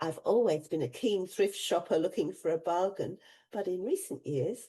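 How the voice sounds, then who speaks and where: A woman's medium-pitched voice with a dark, mellow tone, ordinary pitch variation and a moderate pace. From England, raised mostly in Australia. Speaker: retiree vlogger. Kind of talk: casual vlog monologue.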